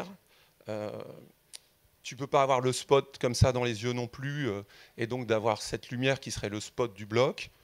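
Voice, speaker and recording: A man talks with normal pitch movement and a medium tempo, the background staying quiet. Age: 50s. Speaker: audience member. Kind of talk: audience question. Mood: earnest, reflective. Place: hall. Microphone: handheld.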